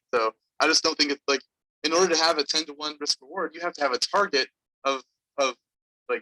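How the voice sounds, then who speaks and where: A man talks at a very fast pace with a fairly high pitch, a bright, sharp tone and fairly even intonation, in a dry, close sound with no echo. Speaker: finance instructor leading student investment fund. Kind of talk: classroom walkthrough on video call. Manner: casual, many fillers.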